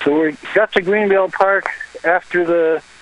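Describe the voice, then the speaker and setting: Against noticeable background noise, a man talks at a moderate pace with fairly even intonation. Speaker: caller reporting from an event. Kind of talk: live phone report. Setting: phone call from outdoors.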